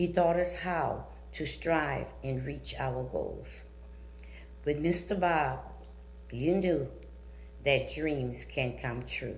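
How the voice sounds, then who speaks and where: Audible room echo follows a woman with an American accent who talks at a very slow pace with long, frequent pauses. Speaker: community speaker at school board meeting. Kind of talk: prepared public comment.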